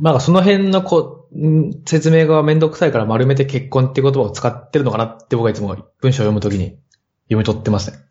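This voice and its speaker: A somewhat breathy voice moves at a fairly quick pace with lively intonation. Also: man, medium pitch for a man. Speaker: podcast listener and band musician. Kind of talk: casual chat.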